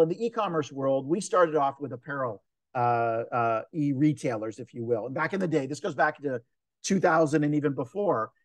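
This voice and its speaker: A man with fairly high pitch, a fairly quick pace and lively intonation. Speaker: entrepreneur and author. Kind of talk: interview. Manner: fast.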